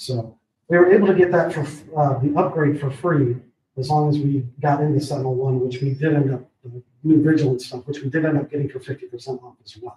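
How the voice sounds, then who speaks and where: The voice is dark, mellow and somewhat breathy, moving at a fairly quick pace. Its intonation stays fairly even while the loudness swings widely. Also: man, fairly high pitch for a man. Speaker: IT services provider. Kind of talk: public meeting presentation. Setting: county board meeting room. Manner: quiet.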